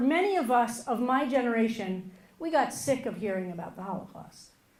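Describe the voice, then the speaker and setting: A woman's high-pitched voice with an American accent, at a moderate pace with audible room echo. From US. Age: 50s. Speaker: rabbi. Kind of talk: keynote speech.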